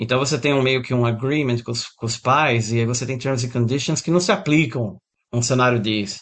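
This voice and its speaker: In a normal speaking voice, a man talks at a medium pitch and a moderate pace with ordinary pitch variation. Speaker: guitar teacher and musician. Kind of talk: interview.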